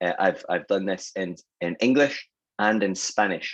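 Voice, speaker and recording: A man speaks with a Scottish accent. The sound is dry and close, with no echo. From Scotland. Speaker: sales and marketing consultant. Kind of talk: webinar presentation.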